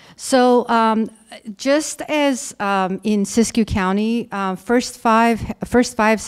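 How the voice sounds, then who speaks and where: A woman talks with an Armenian accent and ordinary pitch variation. The recording is very clean, with a silent background. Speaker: conference speaker. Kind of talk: conference presentation. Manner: halting, many fillers.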